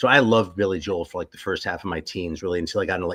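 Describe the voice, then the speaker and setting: The pace here is very fast. It is a man talking. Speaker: metal music enthusiast. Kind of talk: casual chat on a livestream.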